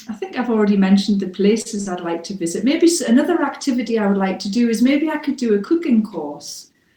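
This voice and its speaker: A woman speaks with a British accent at a fairly high pitch. Her pace is fairly quick and her intonation lively. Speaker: English teacher. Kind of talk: mock speaking test answer. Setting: internet call.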